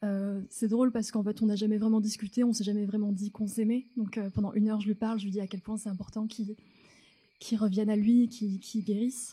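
A woman speaks at a very fast pace with a fairly high pitch and monotone, flat intonation. Her tone is dark and mellow and somewhat breathy. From France, North African family. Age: 30s. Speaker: storyteller on stage. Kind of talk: personal story told on stage. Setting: theatre stage with audience. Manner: halting, many repetitions.

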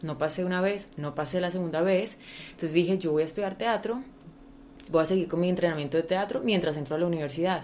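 Her voice sits at a fairly low pitch with ordinary pitch variation as the woman talks at a very fast pace. Noticeable background noise is present. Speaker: actress. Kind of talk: interview. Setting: home recording.

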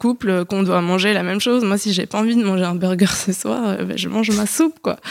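An unremarkable speaking voice at a fairly quick pace with hardly any pauses and ordinary pitch variation, on a very clean recording with a silent background. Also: woman. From Paris, France. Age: 20s. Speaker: podcast guest. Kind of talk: casual chat.

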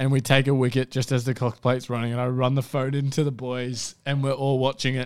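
With an Australian accent, a man of medium pitch races along very fast in a flat monotone, barely pausing. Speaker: racing podcast co-host. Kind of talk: casual racing analysis chat. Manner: flat, low-energy delivery.

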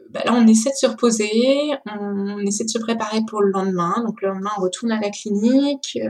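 The voice moves with ordinary pitch variation over noticeable background noise. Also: woman. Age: 30s. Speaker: bereaved mother. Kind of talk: testimony.

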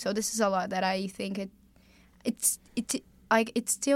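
A woman with a Brazilian accent speaks at a fairly slow pace and medium pitch with fairly even intonation, on a very clean recording with a silent background. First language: Portuguese. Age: young. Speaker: college tennis player. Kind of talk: casual chat.

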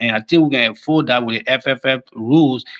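A man's voice with ordinary pitch variation. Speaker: football fan caller. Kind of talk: call-in football discussion. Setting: calling in remotely from abroad.

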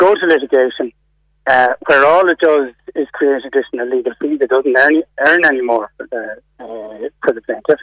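Speaking with an Irish accent, a man has a fairly high pitch, and the recording has a dry, close sound with no echo. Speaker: insurance reform campaigner. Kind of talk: radio interview.

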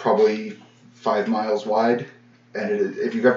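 This is an unforced reading voice. It carries the words plainly.

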